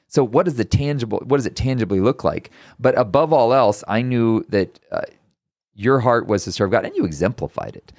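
Recorded very cleanly against a silent background, a man speaks with an American accent in a plain, everyday voice. His medium pitch rides on lively intonation at a moderate pace. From Texas. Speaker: podcast host. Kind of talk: casual chat.

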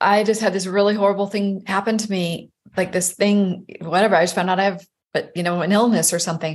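Monotone and flat in intonation, the voice races at a very fast pace against a quiet background. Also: woman, medium pitch for a woman. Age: 50s. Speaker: life coach. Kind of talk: casual interview chat.

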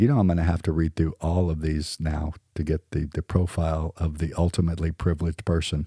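A man with an American accent talks at a very fast pace with hardly any pauses, his very deep, low voice dark, mellow and somewhat breathy, the intonation monotone and flat. The recording is very clean with a silent background and a dry, close sound with no echo. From US South. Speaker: podcast host. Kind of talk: casual chat.

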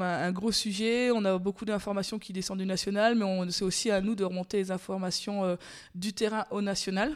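A woman's medium-pitched, plain, everyday voice at a moderate pace with fairly even intonation. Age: 30s. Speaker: dairy farmer. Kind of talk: interview. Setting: on her farm.

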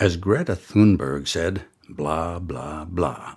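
At a very slow pace, a man with a Canadian accent speaks in a very deep, low pitch with vocal fry and ordinary pitch variation, on a very clean recording with a silent background. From Canada. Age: 70s. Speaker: retired political and radio veteran, podcast host. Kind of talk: scripted narration.

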